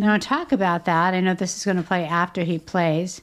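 A woman's medium-pitched voice at a moderate pace with ordinary pitch variation, an unremarkable speaking voice, on a very clean recording with a silent background. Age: 60s. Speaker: therapist and podcast co-host. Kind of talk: casual chat.

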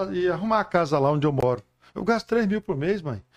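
In a quiet background, a man with an unremarkable speaking voice talks at a fairly quick pace with lively intonation. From Goiás, Brazil. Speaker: pastor. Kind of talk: testimony.

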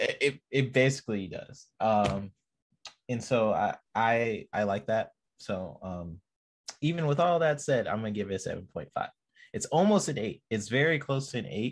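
Using a normal speaking voice, a man of medium pitch talks at a moderate pace with lively intonation. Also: very clean recording, silent background. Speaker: guest panelist and artist. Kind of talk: casual chat.

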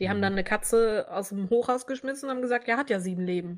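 A woman speaks at a very fast pace with ordinary pitch variation on a very clean recording with a silent background. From Hannover, Germany. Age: 20s. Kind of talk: casual chat.

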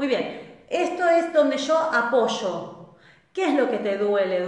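A woman speaks in an animated tone with very wide pitch swings and a Rioplatense accent. Noticeable background noise and audible room echo are present. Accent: Argentine Rioplatense Spanish. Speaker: transgenerational therapist and live-stream host. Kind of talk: live-stream talk answering viewer questions. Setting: live online stream.

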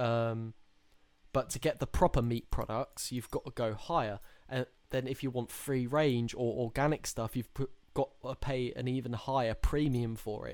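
Heard on a very clean recording with a silent background, a man speaks at a moderate pace in an unremarkable speaking voice. His pitch is medium and his intonation fairly even. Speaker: podcast host. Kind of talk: casual chat.

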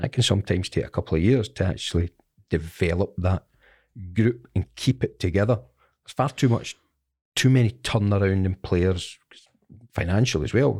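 A somewhat breathy man with a Scottish accent, fairly low in pitch with ordinary pitch variation, at a moderate pace with long, frequent pauses and big swings in loudness, on a very clean recording with a silent background and a dry, close sound with no echo. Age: 50s. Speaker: former football player and manager. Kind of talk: interview.

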